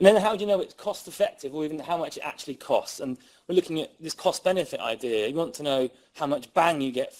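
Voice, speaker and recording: Very fast speech from a man with an English accent, high in pitch and full of very wide pitch swings. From England. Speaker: criminologist and researcher. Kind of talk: lecture. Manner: animated.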